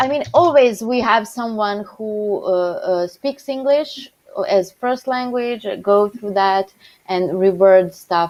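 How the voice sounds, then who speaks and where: A woman speaks at a very slow pace. She has a non-native accent. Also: fairly high pitch for a woman, ordinary pitch variation. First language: not English. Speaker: documentation contributor on a developer panel. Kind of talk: casual technical discussion in a live coding session. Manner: halting, many fillers.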